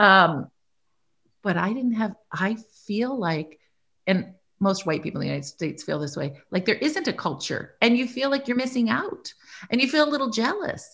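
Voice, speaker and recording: A woman's fairly high voice shows vocal fry and very wide pitch swings. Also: moderate pace. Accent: American. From US Midwest, Iowa. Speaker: business leader and investor. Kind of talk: interview.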